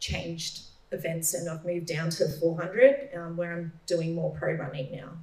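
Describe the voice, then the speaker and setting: A woman with an Australian accent at a fairly slow pace and fairly low pitch, over noticeable background noise. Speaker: middle-distance runner. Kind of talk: panel Q&A. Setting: stage with audience.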